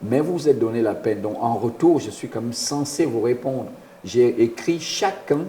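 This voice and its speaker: A man at medium pitch with lively intonation and a moderate pace, amid noticeable background noise. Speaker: former international footballer and youth football coach. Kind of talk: radio interview. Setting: radio studio. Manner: halting, repeats words.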